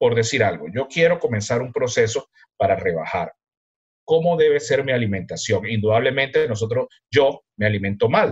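Breathiness is somewhat present, and the pitch moves in a lively way. Delivery comes at a moderate speed. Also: man, medium pitch for a man. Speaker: podcast co-host, professor. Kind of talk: casual chat.

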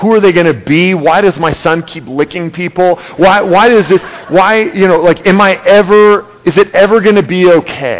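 With noticeable background noise behind him, a man speaks at a moderate pace in a high pitch, with ordinary pitch variation and hardly any pauses. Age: 30s. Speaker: pastor. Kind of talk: sermon. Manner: halting.

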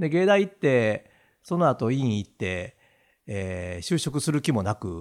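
A man with a Kansai accent speaks very slowly, his pitch swinging very widely, on a very clean recording with a silent background. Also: medium pitch for a man. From Awaji Island, Hyogo (Kansai). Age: 60s. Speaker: business owner. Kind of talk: casual chat.

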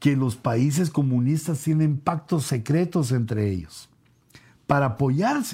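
On a very clean recording with a silent background, a man with a fairly high pitch and a dark, mellow tone speaks fairly slowly, somewhat breathy, with lively intonation. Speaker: apostle and preacher. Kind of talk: bible teaching. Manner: hesitant, frequent fillers.

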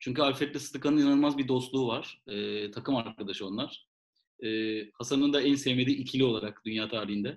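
Fairly quick, fairly even in intonation, in a normal speaking voice. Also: man, medium pitch for a man. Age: 30s. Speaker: podcast co-host. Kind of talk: casual chat.

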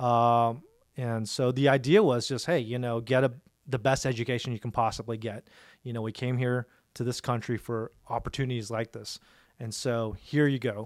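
In a very clean recording with a silent background, a man with an American accent and an unremarkable speaking voice talks at a medium pitch and a moderate pace with fairly even intonation. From Dallas, Texas. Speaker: family business owner. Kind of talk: interview.

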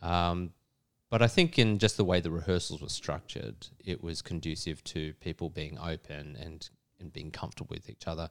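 A man speaks with a very deep, low pitch and ordinary pitch variation. His pace is moderate, and his loudness swings widely. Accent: Australian. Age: 40s. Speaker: actor. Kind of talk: interview.

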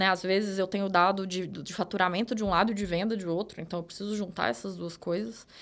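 Very fast and with hardly any pauses, a woman speaks at medium pitch with fairly even intonation. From Minas Gerais countryside, Brazil. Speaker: data manager. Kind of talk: interview.

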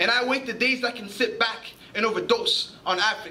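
A man projects his voice at an extremely high pitch, keeping the intonation fairly even and the pace moderate over noticeable background noise. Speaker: spoken word poet. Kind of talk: spoken word poetry performance.

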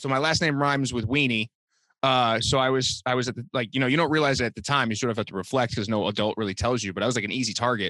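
In an American accent, a man talks very fast with a bright, sharp tone, the sound dry and close with no echo. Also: medium pitch for a man, ordinary pitch variation. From Boston. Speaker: comedian and designer. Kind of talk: casual interview chat. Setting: remote call. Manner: casual, filler-heavy.

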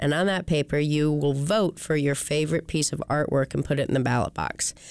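In a very clean recording with a silent background, a woman with an American accent speaks at a moderate pace in a very deep, low voice. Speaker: museum representative. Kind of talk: radio interview.

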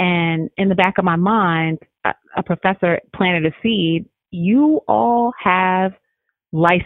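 With lively intonation and an American accent, a woman speaks at medium pitch in an unremarkable speaking voice. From New Jersey. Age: 40s. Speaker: family law attorney. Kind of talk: interview conversation.

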